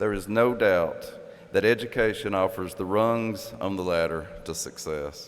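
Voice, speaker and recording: A man with an Appalachian accent, fairly low pitch, ordinary pitch variation and a fairly slow pace, over noticeable background noise. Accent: southeastern Kentucky (Appalachian). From southeastern Kentucky. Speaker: author and professor. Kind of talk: commencement speech.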